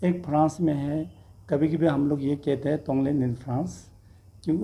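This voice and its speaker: The speaker has a somewhat breathy voice with a dark, mellow tone, a non-native accent, fairly even intonation and a moderate pace. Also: man. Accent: non-native Hindi. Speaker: Buddhist monk, charity founder. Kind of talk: press statement. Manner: halting.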